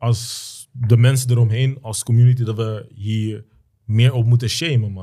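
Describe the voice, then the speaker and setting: On a very clean recording with a silent background, a man with a dark, mellow tone speaks in a medium pitch at a fairly slow pace, somewhat breathy and monotone, with big swings in loudness. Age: 20s. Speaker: perfume entrepreneur. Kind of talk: casual chat. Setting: studio.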